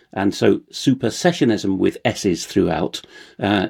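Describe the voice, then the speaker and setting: Speaking at a fairly slow pace, a man uses a fairly low, dark, mellow voice with ordinary pitch variation, and the sound is dry and close with no echo. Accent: RP. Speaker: translator and researcher. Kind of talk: conversational interview.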